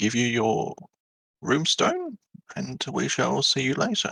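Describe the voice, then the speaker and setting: A put-on character voice from a man at a fairly slow pace. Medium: actual play. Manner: sly, patronizing.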